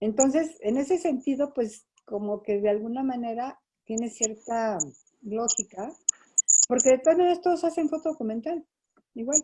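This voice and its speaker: At a moderate pace, a woman talks in a high voice with very wide pitch swings. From Mexico City and Toluca. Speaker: photojournalist. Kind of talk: interview.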